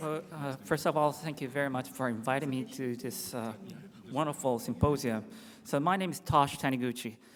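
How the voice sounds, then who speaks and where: A man with a Japanese accent speaks at medium pitch. His pace is moderate, with ordinary pitch variation. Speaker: infectious disease doctor. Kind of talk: conference lecture. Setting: symposium stage with audience.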